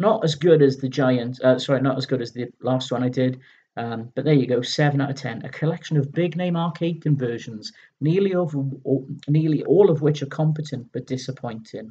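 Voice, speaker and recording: A somewhat breathy man with a British accent, fairly high pitch, ordinary pitch variation and a moderate pace. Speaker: retro gaming video host. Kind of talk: casual magazine review commentary. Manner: halting, stumbling over words.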